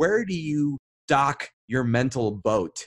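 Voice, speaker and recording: The delivery is animated, with lively intonation. The sound is dry and close, with no echo. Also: man. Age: 40s. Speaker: animation interview show host. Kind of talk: interview.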